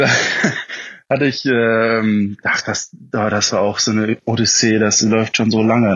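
A man's fairly low-pitched voice. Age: 20s. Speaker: motorcycle hobbyist. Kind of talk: casual chat.

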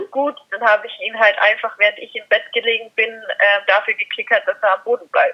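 A woman talks at a fairly quick pace with hardly any pauses and big swings in loudness. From Austria. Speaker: dog trainer. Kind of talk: interview.

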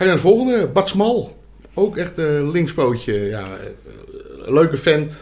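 A man speaks at a fairly slow pace with a high pitch and very wide pitch swings, leaving long, frequent pauses. Audible room echo surrounds his voice. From Amsterdam. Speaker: podcast co-host, former amateur footballer. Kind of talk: casual chat. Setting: studio.

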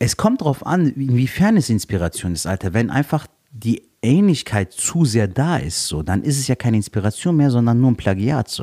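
A voice with a dark, mellow tone and very wide pitch swings moves at a moderate pace, recorded with a dry, close sound and no echo. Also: man, medium pitch for a man. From Cologne, western Germany. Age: young. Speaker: stand-up comedian. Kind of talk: casual chat.

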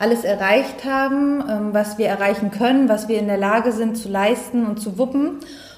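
Against noticeable background noise, a woman with a fairly high pitch speaks at a fairly slow pace with fairly even intonation. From northeastern Germany, Neustrelitz. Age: 30s. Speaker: life coach. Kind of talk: podcast interview.

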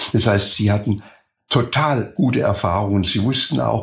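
A somewhat breathy male voice at medium pitch, ordinary pitch variation and a moderate pace. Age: 80s+. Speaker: former escape helper. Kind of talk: interview.

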